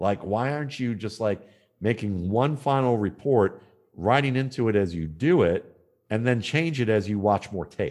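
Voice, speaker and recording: A man with an unremarkable speaking voice talks at medium pitch and a moderate pace, using lively intonation over a quiet background. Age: 50s. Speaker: football scout and analyst. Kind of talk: interview.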